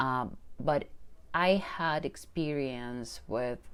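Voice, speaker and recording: A woman with a Spanish accent speaks in a very deep, low voice at a very slow pace with lively intonation. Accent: Spanish accent, noticeable. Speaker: manifestation coach. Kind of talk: personal testimony vlog. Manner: hesitant, many fillers.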